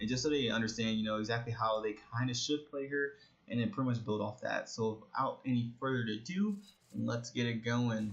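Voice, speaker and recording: At a moderate pace and medium pitch, a man speaks over noticeable background noise. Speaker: gaming YouTuber. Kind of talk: gameplay tutorial commentary. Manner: casual with frequent fillers.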